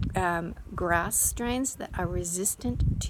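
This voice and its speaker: A woman talks very slowly while noticeable background noise fills the recording. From New Zealand. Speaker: children's author. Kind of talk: Q&A video for school pupils. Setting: outdoors on the coast. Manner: speaking louder over wind.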